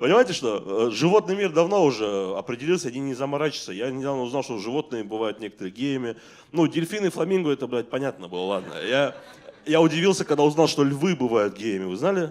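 The voice moves at a very fast pace with very wide pitch swings. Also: man, fairly high pitch for a man. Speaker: stand-up comedian. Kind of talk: stand-up comedy. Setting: stage with audience. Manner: animated, conversational, profanity-laced delivery with mock-outraged voices. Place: stage. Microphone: handheld.

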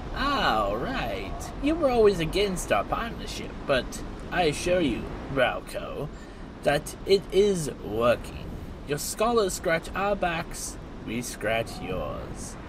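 Loud background noise sits under speech at a fairly slow pace. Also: man. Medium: machinima. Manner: veiled threat; smug, mocking.

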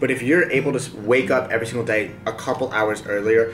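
A man at a moderate pace with ordinary pitch variation, clear music in the background. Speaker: vlogger. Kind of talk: casual vlog chat. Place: home room. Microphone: camera far.

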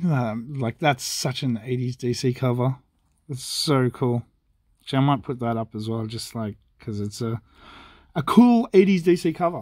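A British accent with ordinary pitch variation, on a very clean recording with a silent background. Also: man, medium pitch for a man, moderate pace. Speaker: comic book dealer and video host. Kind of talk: casual unboxing chat. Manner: talking quietly.

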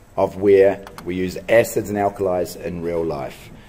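A man speaks very slowly while noticeable noise carries on behind him. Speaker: teacher. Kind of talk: tutorial.

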